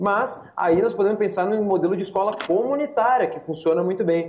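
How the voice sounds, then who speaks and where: A man with a high pitch speaks amid noticeable background noise and audible room echo. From Rio Grande do Sul, Brazil. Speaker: parliamentary aide and education commentator. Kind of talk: panel debate. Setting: remote video call.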